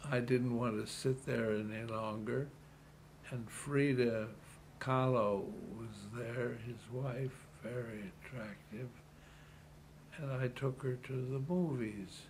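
A man speaks at a medium pitch and a very slow pace, with fairly even intonation and long, frequent pauses, over noticeable background noise and audible room echo. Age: 80s+. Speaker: retired city politician. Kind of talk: interview.

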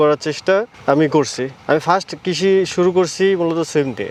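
Noticeable background noise is present throughout. A man talks over it. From Natore, Bangladesh. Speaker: bean farmer. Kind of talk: interview. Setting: outdoors in a crop field.

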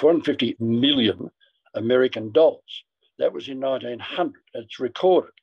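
This is a man speaking with an Australian accent. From Australia, Ballarat. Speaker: former footballer and club marketing director. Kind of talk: interview storytelling. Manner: halting.

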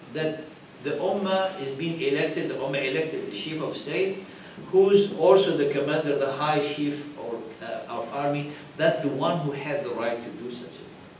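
A man at a moderate pace with ordinary pitch variation, big swings in loudness, audible room echo and light background noise. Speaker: religious teacher. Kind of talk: lecture. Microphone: podium.

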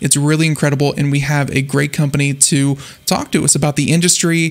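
This man speaks at a moderate pace with fairly even intonation. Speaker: radio show host. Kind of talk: radio show intro. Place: studio. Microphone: studio mic.

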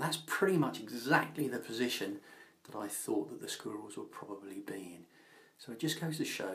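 Lively in his intonation, a man speaks at a moderate pace. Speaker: wildlife gadget vlogger. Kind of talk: casual vlog tutorial. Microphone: phone near.

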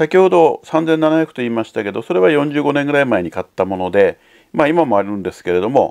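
Over a quiet background, a man talks at a fairly quick pace with a fairly high pitch. His pitch swings very widely. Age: 60s. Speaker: audio hobbyist YouTuber. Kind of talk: casual product talk to camera. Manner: halting, with many fillers. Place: home room.

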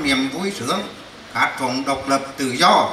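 A man at a fairly slow pace, ordinary pitch variation, audible room echo, and light background noise. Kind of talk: formal commemorative speech. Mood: nostalgic, solemn. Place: hall.

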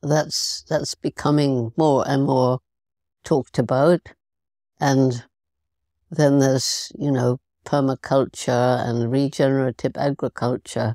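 A woman with a British accent speaks very slowly in a very deep, low, dark and mellow voice, with monotone, flat intonation, very even loudness, and long, frequent pauses. The sound is dry and close with no echo, on a very clean recording with a silent background. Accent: British English (Received Pronunciation). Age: 80s+. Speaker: primatologist and conservationist. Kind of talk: podcast interview answer.

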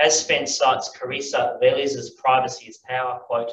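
A man with an Australian accent, light background noise and audible room echo. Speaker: philosophy professor and panel moderator; philosophy professor, panel moderator. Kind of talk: conference talk. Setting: stage with audience. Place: hall. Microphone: camera far.

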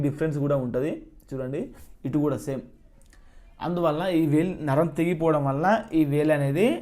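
Fairly high pitch for a man, dark and mellow in tone, with ordinary pitch variation. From Telangana, Mancherial district. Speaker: cooking YouTuber. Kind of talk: casual vlog Q&A.

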